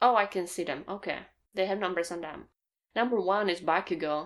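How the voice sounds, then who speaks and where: A woman with a non-native accent speaks at a moderate pace in a very clean recording with a silent background. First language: not English. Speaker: anime manga reaction youtuber. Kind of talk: manga chapter reaction, casual solo talk.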